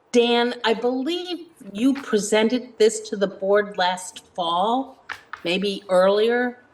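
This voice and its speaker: Noticeable background noise accompanies a woman talking at a very slow pace. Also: fairly high pitch for a woman, ordinary pitch variation. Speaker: select board member. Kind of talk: public meeting discussion. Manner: loud.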